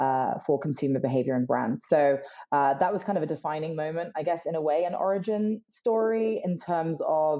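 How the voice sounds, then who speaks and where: Speaking with a British accent, a woman uses a very deep, low pitch, ordinary pitch variation and a moderate pace. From UK. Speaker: emerging technology strategist. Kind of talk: podcast interview.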